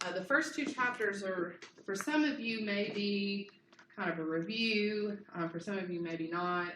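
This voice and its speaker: Audible room echo surrounds a voice that moves at a fairly slow pace with lively intonation. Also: woman, medium pitch for a woman. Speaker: university lecturer. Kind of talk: lecture. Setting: classroom. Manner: casual, filler-heavy.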